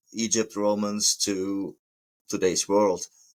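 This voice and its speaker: Heard on a very clean recording with a silent background, a man with a German accent speaks at a fairly low pitch. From Germany. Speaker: plumber and podcast host. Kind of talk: podcast monologue. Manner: halting, with hesitations.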